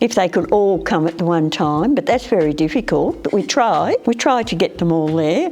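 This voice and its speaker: A woman in an Australian accent speaks at a moderate pace and medium pitch with very wide pitch swings, very even loudness and hardly any pauses. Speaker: retired hairdresser. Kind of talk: interview. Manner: casual storytelling.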